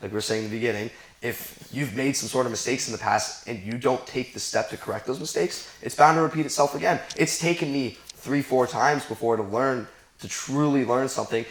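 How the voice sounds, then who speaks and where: There is noticeable background noise. Over it, a man talks fairly quickly. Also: medium pitch for a man, ordinary pitch variation. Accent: American. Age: 20s. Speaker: young business owner. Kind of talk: casual chat.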